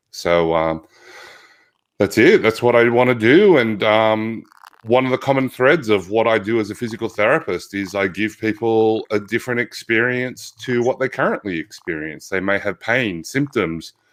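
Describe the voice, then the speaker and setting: With an Australian accent, a man talks at a moderate pace, his pitch medium and its variation ordinary. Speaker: physical therapist. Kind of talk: interview conversation.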